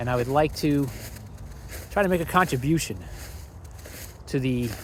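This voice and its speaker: A man's somewhat breathy voice, medium in pitch, at a moderate pace. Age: 60s. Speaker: vlogger. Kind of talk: casual monologue. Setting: outdoors. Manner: walking while talking.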